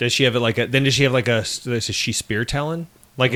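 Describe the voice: The intonation is fairly even. It is a plain reading aloud.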